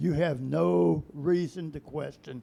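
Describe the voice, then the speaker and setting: Dark and mellow in tone, a man speaks fairly slowly with lively intonation. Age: 80s+. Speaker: pastor. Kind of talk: sermon. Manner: animated.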